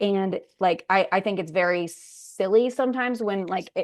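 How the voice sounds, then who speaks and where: A woman with a medium pitch speaks in fairly even intonation against a quiet background. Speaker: sex therapist and counselor. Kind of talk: lecture. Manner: fast.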